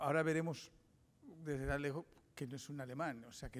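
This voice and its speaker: This man's voice sits at a fairly high pitch. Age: 60s. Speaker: investigative journalist. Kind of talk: conference talk. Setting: seminar with audience. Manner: hesitant, with frequent fillers and restarts.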